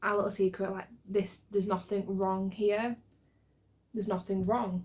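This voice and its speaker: Breathy in a mild way, a woman of medium pitch talks at a moderate pace in a monotone, flat intonation. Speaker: book youtuber. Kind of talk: casual vlog chat.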